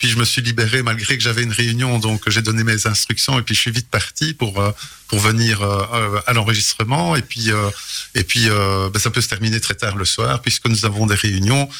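With a bright, sharp tone and fairly even intonation, a man speaks at a moderate pace. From Belgium, Charleroi region (Hainaut). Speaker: mayor. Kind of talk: radio interview. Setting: radio studio.

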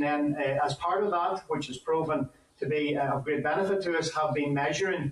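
Over noticeable background noise, a man with a Northern Irish accent speaks at a moderate pace, his fairly high voice holding fairly even intonation. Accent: Northern Irish (Fermanagh). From Northern Ireland, County Fermanagh. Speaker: farmers' union deputy president. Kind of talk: committee evidence session.

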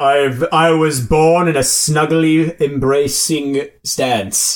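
A man uses a put-on character voice. He delivers it at a very slow pace. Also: fairly high pitch for a man. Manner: alternates lofty formal speech with casual slacker talk.

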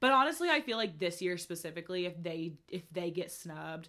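With an American accent, a woman talks at a fairly quick pace in a fairly low pitch, her bright, sharp tone animated and her pitch variation ordinary. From United States. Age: 20s. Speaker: podcast co-host, college student. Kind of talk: casual chat.

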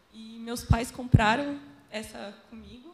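A woman's voice at a fairly high pitch with ordinary pitch variation, amid noticeable background noise. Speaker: church volunteer photographer. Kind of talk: testimony.

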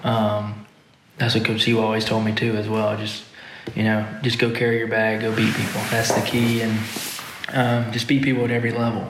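A man speaks fairly quickly in a flat monotone. Audible room echo and noticeable background noise come through. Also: medium pitch for a man. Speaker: professional golfer. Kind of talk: casual interview.

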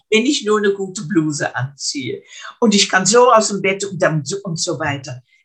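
Very wide pitch swings from a woman at a medium pitch. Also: moderate pace. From Netherlands (Arnhem). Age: 80s+. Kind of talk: interview. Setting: video call. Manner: halting, repeats words.

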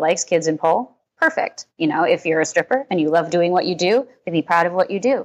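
An unremarkable speaking voice moves at a moderate pace with lively intonation over a quiet background. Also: woman. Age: 20s. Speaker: pole dance studio owner. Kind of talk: casual chat.

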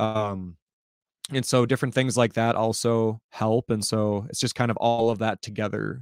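Recorded with a dry, close sound, no echo and a silent background on a very clean recording, a man with an ordinary speaking voice at a medium pitch talks at a moderate pace with fairly even intonation. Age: 20s. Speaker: hip hop musician and content creator. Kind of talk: casual interview chat.

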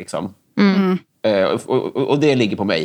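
A man's speech comes at a moderate pace, and the background is quiet. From Stockholm area, Sweden (Järfälla). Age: 30s. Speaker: comedian and writer. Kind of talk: casual chat.

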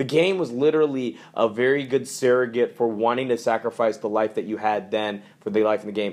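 A man with an ordinary speaking voice, at a fairly quick pace with hardly any pauses. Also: medium pitch for a man, ordinary pitch variation. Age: 20s. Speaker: podcast co-host. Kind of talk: casual chat.

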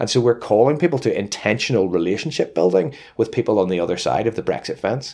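Speaking at a very fast pace, a man uses a fairly low pitch. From Northern Ireland. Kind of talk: interview. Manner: halting, many fillers and repetitions.

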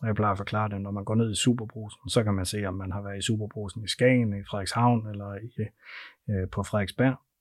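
In a very clean recording with a silent background, a man speaks fairly quickly in a flat monotone at a fairly low pitch. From North Jutland, Denmark. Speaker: payments company sales director. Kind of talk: interview. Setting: studio.

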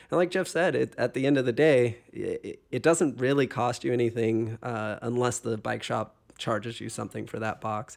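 A man's medium-pitched voice with vocal fry, at a moderate pace with ordinary pitch variation and hardly any pauses, in a very clean recording with a silent background. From Hawaii. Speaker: podcast host, bike company representative. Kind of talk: casual chat.

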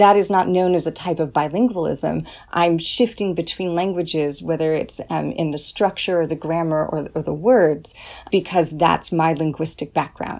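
A woman with an American accent speaks in an ordinary speaking voice, pitched fairly low. Her pace is moderate and her pitch variation ordinary. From California. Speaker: English professor. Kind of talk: interview. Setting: office.

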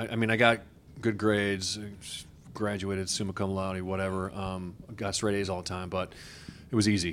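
With an American accent, a man at a fairly low pitch speaks at a moderate pace in a monotone, flat tone, taking long, frequent pauses amid audible room echo. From Wisconsin, US Upper Midwest. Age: old. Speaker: TV news anchor and investigative reporter. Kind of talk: casual interview. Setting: conference room.

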